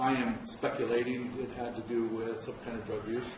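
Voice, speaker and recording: Amid noticeable background noise and audible room echo, a man speaks at a medium pitch. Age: 60s. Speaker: public commenter, local business owner. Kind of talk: public comment at county board meeting. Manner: halting, many fillers.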